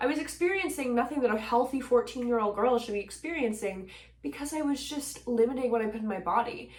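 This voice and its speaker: Over noticeable background noise, a woman with a Canadian accent speaks at a fairly high pitch with lively intonation. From Nova Scotia, Canada. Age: 20s. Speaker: singer-songwriter, mental health advocate. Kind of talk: casual talk to camera.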